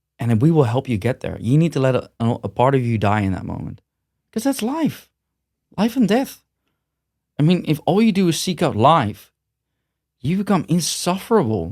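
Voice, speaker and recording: In a Dutch accent, a man with a fairly high pitch speaks at a moderate pace with long, frequent pauses. His pitch swings very widely, and the recording is very clean with a silent background. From Netherlands. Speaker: gym owner and martial arts manager. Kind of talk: podcast interview. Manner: blunt, direct.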